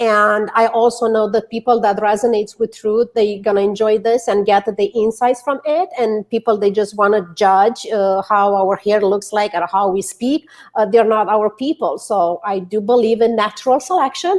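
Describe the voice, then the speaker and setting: With a Romanian accent, a woman speaks at a moderate pace in a fairly high voice, with ordinary pitch variation, very even loudness and hardly any pauses. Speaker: author and public speaker. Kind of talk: interview chat.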